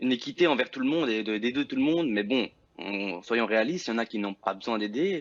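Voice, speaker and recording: Using an ordinary speaking voice, a man talks at a medium pitch and a fairly quick pace with lively intonation. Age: 20s. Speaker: young worker. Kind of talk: TV debate.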